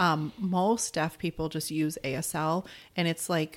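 In a plain, everyday voice with an American accent, a woman speaks at a fairly low pitch and a fairly slow pace. Her pitch variation is ordinary, on a very clean recording with a silent background. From Arizona. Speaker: wife of a deaf man. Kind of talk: interview.

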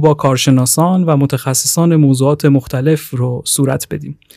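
Recorded very cleanly against a silent background, a man speaks in a plain, everyday voice, fairly high in pitch, at a moderate pace. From Iran, Tehran. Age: 20s. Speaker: podcast host, graduate student. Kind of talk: interview; scripted narration.

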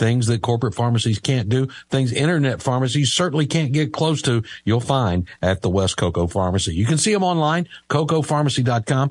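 Against a quiet background, a man with an American accent talks fairly quickly at medium pitch, his somewhat breathy voice showing lively intonation and very even loudness. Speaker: radio host. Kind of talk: live radio talk show. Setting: radio studio.

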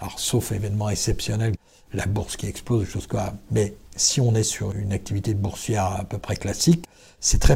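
A fairly low male voice, somewhat breathy with a dark, mellow tone, at a moderate pace with ordinary pitch variation, on a very clean recording with a silent background. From Vendée, western France. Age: 60s. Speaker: business founder and CEO. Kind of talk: interview. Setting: company premises.

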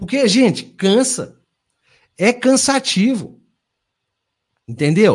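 A man speaks in a high voice at a fairly slow pace, his tone animated and his intonation lively, against a quiet background. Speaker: podcast host. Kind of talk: casual chat.

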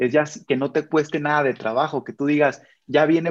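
The speaker has a normal speaking voice at a moderate pace. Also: man. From Michoacán, Mexico. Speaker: army sergeant and motivational speaker. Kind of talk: casual interview chat.

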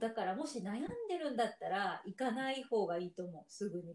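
A woman talks at a very fast pace in a fairly high pitch. Her intonation is lively. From Japan, Yamaguchi Prefecture. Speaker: podcast co-host. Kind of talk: casual chat.

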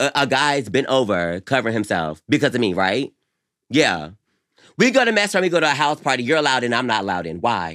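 A man's animated, very fast speech with very wide pitch swings, vocal fry and a bright, sharp tone, on a very clean recording with a silent background. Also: medium pitch for a man. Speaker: podcast co-host. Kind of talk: casual banter between friends. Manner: sassy, animated.

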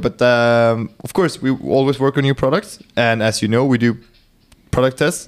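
With a Swedish accent, a man speaks at a medium pitch. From Sweden. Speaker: hunter and optics sales manager. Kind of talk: casual chat. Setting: company lounge, in person.

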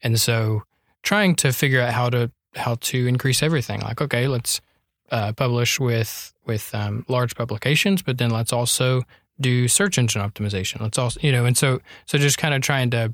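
In a plain, everyday voice with an American accent, the speaker keeps a moderate pace, very even loudness and ordinary pitch variation, with a dry, close sound with no echo in a very clean recording over a silent background. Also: man. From North Carolina. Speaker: blogger and writer. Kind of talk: casual chat.

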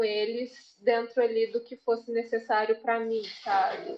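A woman speaks at a fairly high pitch. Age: 20s. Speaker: English tutor and language student. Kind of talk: casual chat.

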